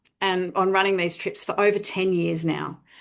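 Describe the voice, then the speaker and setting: With an Australian accent, a woman speaks at a moderate pace. The background is quiet. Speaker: charity fundraising executive. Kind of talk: webinar presentation.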